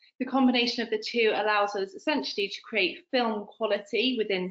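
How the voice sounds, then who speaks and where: At a fairly quick pace, a woman with a strong British accent talks in a fairly high pitch. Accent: strong UK. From United Kingdom. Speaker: product representative. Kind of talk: business webinar presentation. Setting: online webinar.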